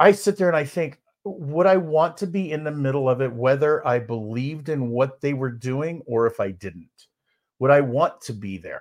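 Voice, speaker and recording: Lively intonation in a northern US accent, over a quiet background. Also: man, fairly high pitch for a man, moderate pace. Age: 50s. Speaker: keynote speaker and podcast co-host. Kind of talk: casual chat. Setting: live stream. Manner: halting.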